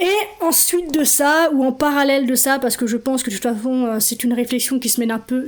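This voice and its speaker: Noticeable background noise surrounds a woman's voice. She speaks at a high pitch with fairly even intonation. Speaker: podcast host and life coach. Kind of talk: solo podcast talk. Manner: fast.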